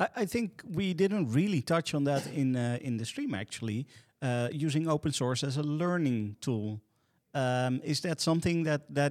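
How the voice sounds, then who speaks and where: In a very clean recording with a silent background and a dry, close sound with no echo, a man with an ordinary speaking voice and a fairly high pitch talks at a moderate pace with lively intonation. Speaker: podcast host. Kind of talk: podcast panel discussion.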